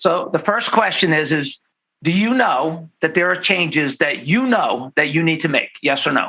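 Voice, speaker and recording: Bright and sharp in tone, a man speaks at a high pitch and a moderate pace, animated, with lively intonation and very even loudness. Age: 50s. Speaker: chiropractor. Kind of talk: interview.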